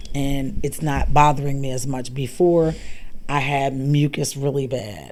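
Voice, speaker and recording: In a room with audible echo, a woman talks fairly slowly in a very deep, low voice with flat, monotone intonation. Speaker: pranic healer. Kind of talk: casual chat.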